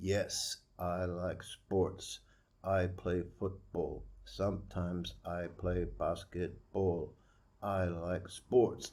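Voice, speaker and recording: A man puts on a robotic character voice. He speaks very slowly at a very deep, low pitch. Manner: monotone, robotic.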